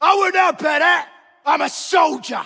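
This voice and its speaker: Shouting in a put-on character voice, a man reaches an extremely high pitch. His pace is moderate. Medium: video game. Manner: blunt, plain-spoken.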